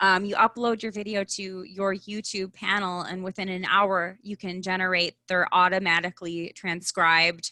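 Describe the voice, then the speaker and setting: Recorded dry and close with no echo, a woman with a strong Midwestern US accent speaks at a moderate pace. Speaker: personal branding expert. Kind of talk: live online event interview.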